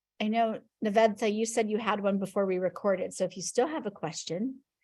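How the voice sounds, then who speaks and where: Talking at a fairly quick pace, a woman uses a fairly high pitch. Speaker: class follow-up call host. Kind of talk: Q&A video call. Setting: video call. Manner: fast.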